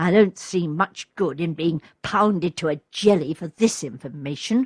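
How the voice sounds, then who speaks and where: A woman does a put-on character voice with lively intonation. Her pitch sits fairly low. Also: moderate pace. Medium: read story.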